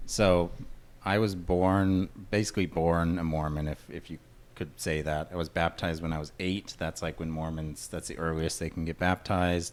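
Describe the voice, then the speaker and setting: The delivery is monotone, with flat intonation and a moderate pace. An American accent comes through. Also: man, very deep, low pitch for a man. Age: 30s. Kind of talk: casual chat.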